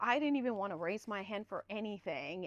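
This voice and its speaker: Recorded with a dry, close sound and no echo, a woman speaks at a fairly quick pace in a bright, sharp tone, her pitch swinging very widely. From Guatemala, moved to Southern California as a child. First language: Spanish. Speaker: public information officer, former TV reporter. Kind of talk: podcast interview.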